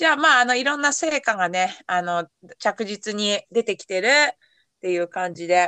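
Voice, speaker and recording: With a dry, close sound and no echo, a woman speaks at a moderate pace in a medium pitch, her pitch swinging very widely. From Yamanashi, Japan. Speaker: podcast host and race coach. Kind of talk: casual chat.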